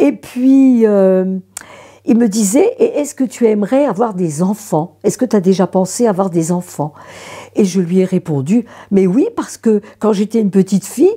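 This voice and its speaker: With a dark, mellow tone and a somewhat breathy quality, a woman speaks at a medium pitch with lively intonation and big swings in loudness. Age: 70s. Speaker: consecrated widow. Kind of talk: testimony. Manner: halting.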